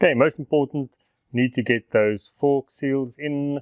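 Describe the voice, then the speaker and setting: A man talks here. His pace is very slow. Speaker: motorcycle DIY vlogger. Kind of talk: casual vlog tutorial.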